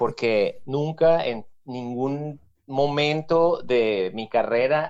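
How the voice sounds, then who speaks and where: With a Venezuelan accent, a man speaks at a fairly high pitch with ordinary pitch variation. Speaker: musician. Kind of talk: casual chat.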